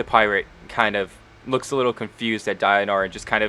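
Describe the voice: The clip is plain reading aloud.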